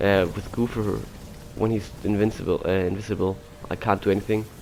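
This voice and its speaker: Noticeable background noise sits behind a man speaking at a moderate pace with a fairly low pitch. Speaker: gamer. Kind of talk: casual gameplay commentary.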